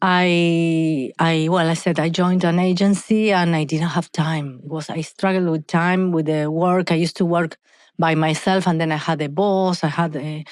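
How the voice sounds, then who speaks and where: A woman with an Argentine accent speaks at a moderate pace in a fairly low, flat monotone, recorded very cleanly over a silent background. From Argentina. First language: Spanish. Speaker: hair care entrepreneur. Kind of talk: podcast interview. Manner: halting, self-correcting.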